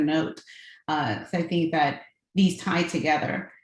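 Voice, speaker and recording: A woman with an American accent speaks in a somewhat breathy voice with a fairly low pitch. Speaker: corporate real estate executive. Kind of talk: panel discussion. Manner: fast-talking.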